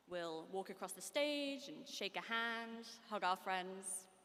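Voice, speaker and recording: A woman's bright, sharp voice at a medium pitch, with ordinary pitch variation. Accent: British. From United Kingdom. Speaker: graduating student speaker. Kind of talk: commencement speech. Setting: stage with audience. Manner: formal.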